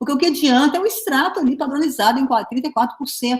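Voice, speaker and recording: The woman's tone is animated, with ordinary pitch variation. She talks at a very fast pace. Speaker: pharmacy researcher and professor. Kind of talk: online lecture.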